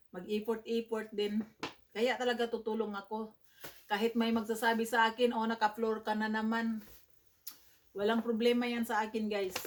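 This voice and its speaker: A woman's fairly high voice at a moderate pace, in a monotone with flat intonation. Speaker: vlogger. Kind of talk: casual vlog unboxing. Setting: at home in bedroom.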